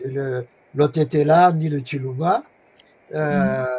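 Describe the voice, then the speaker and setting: A man speaks with a fairly high pitch and a somewhat breathy quality. His pitch rises and falls in an ordinary way. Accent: Swahili. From DR Congo. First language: Swahili (speaking French). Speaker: professor. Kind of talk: interview. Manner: halting.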